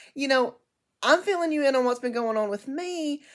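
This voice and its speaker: A woman speaks loudly with lively intonation at a moderate pace on a very clean recording with a silent background. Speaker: book vlogger. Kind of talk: casual chat. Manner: halting.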